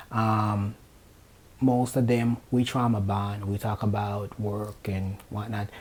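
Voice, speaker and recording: A man speaks with a fairly low pitch in a somewhat breathy voice. His pace is very slow and his intonation monotone and flat. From Jamaica. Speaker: nurse. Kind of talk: casual chat.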